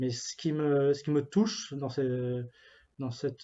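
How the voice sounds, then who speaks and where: A man's fairly high voice at a very slow pace. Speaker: youth ministry pastoral worker. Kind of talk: spiritual reflection talk. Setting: office. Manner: halting, many fillers and repetitions.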